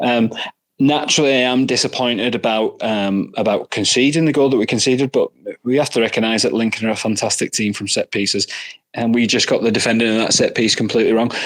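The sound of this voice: Talking at a fairly quick pace with a Northern Irish accent, a man uses a medium pitch, a fairly bright tone and fairly even intonation.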